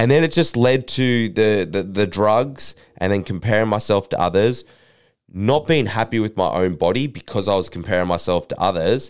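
An unremarkable speaking voice with lively intonation at a moderate pace, on a very clean recording with a silent background. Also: man, fairly low pitch for a man. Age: 20s. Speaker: fitness influencer and mentor to young men. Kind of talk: interview.

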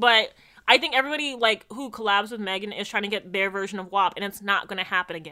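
A woman's medium-pitched, bright, sharp voice at a very fast pace, with ordinary pitch variation and big swings in loudness. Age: 20s. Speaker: podcast co-host. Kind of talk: casual chat.

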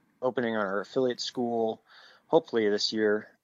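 With an American accent, this is a normal speaking voice. The intonation stays fairly even at a moderate pace. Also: man. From New Jersey. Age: 30s. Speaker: jiu-jitsu instructor. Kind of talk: casual chat.

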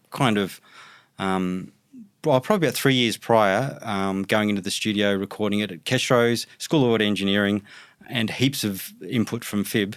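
Here a man speaks with an Australian accent. His fairly low pitch has ordinary variation. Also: moderate pace, very clean recording, silent background. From Brisbane, Australia. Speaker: hip-hop producer and DJ. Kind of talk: casual interview.

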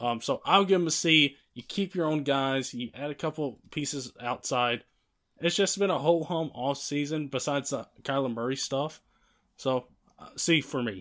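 On a very clean recording with a silent background, a man with an unremarkable speaking voice talks at a moderate pace, his pitch fairly high with ordinary variation. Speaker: podcast host. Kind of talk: casual sports podcast discussion.

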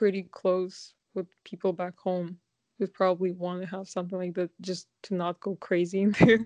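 The delivery comes at a moderate pace, with a dry, close sound and no echo. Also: woman. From Kazakhstan. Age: 20s. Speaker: podcast guest. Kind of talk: casual chat.

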